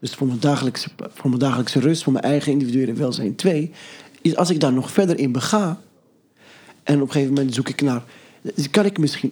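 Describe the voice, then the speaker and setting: A very fast-talking man, fairly high in pitch, with a dark, mellow tone and ordinary pitch variation. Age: young. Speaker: podcast guest sharing a story. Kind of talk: casual conversation. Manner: halting, many repetitions.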